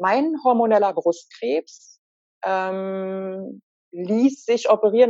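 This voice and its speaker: This woman speaks at a medium pitch. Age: 50s. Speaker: cancer patient. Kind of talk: interview. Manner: hesitant word-finding.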